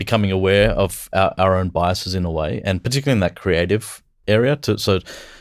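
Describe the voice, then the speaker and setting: A man speaks with an Australian accent at a fairly low pitch and a moderate pace. His pitch varies in an ordinary way, and the recording is very clean with a silent background. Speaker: business executive. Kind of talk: podcast interview. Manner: casual, with fillers.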